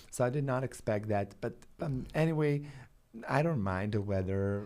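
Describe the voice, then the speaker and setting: A man with a Balkan accent, fairly low pitch, ordinary pitch variation and a moderate pace. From Balkans. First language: Balkan language. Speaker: vegan food show host and entrepreneur. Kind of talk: podcast interview. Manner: loud.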